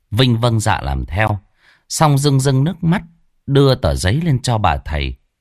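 Quiet surroundings and a natural reading voice.

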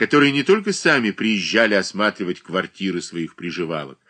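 The words come through in a natural reading voice.

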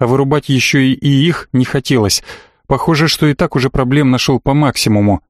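An unforced reading voice is heard. It keeps a fairly even intonation.

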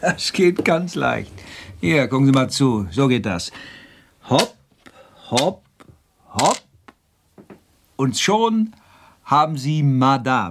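A man in a put-on character voice speaks slowly at a medium pitch, with big pitch swings, vocal fry, and long, frequent pauses.

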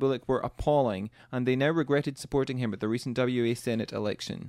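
In a Scottish accent, a man at medium pitch moves at a fairly quick pace with ordinary pitch variation. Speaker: radio co-host. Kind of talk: casual radio chat.

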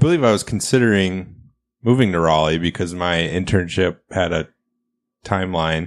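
A man speaks at a moderate pace in a very deep, low voice with ordinary pitch variation. The recording is very clean, with a silent background. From rural Iowa, US Midwest. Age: 30s. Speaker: podcast host, expectant father. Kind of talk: casual chat.

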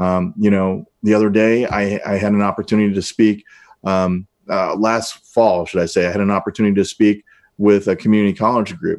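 A man with an American accent speaks in an unremarkable speaking voice, fairly low in pitch, with fairly even intonation at a fairly quick pace over a quiet background. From US Midwest, north St. Louis County, Missouri. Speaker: congressional candidate. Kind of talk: interview.

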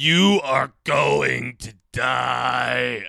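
A man's raspy, put-on character voice. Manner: menacing.

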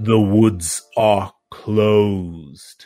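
A man speaks in a put-on character voice, fairly low and resonant. Faint music plays in the background. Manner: commanding, solemn.

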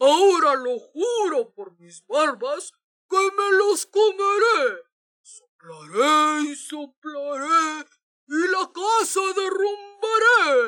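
A put-on character voice, extremely high-pitched and growling, at a very slow pace. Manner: growling, furious shout.

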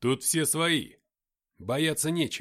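A man's put-on character voice, fairly high-pitched and fairly bright, with big pitch swings at a slow pace, on a very clean recording with a silent background

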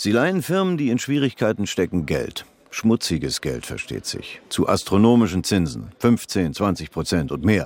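This is a put-on character voice with big pitch swings and a slightly mellow tone. It moves at a moderate pace. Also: man, low pitch for a man.

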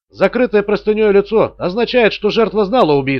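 Natural-sounding reading aloud.

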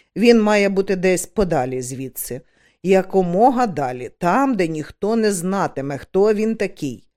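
Lively intonation in an unforced reading voice

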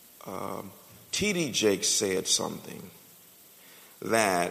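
A man's voice with audible room echo. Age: 40s. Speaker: pastor. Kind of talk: sermon.

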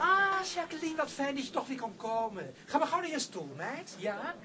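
A man puts on a character voice at an extremely high pitch, bright and sharp in tone, with big pitch swings. Faint music plays in the background. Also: moderate pace.

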